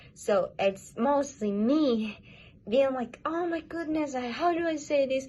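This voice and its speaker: A woman's high-pitched voice with a dark, mellow tone, a Spanish accent, ordinary pitch variation and a fairly slow pace. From Latin America. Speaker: interviewee, creator's girlfriend. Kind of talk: casual interview chat.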